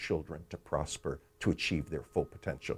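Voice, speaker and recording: The speaker is a man. His tone is dark and mellow. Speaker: economist and author. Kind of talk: explanatory talk about his book.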